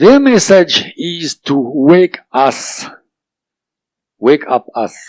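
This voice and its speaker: A man with a non-native accent and fairly high pitch, very wide pitch swings, and a dry, close sound with no echo. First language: not English. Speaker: author of a book on alien contact. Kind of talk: interview. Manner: hesitant, many fillers.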